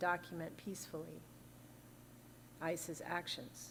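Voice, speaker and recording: Fairly low-pitched with vocal fry, a woman speaks at a fairly slow pace amid audible room echo. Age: 60s. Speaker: minister. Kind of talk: sermon.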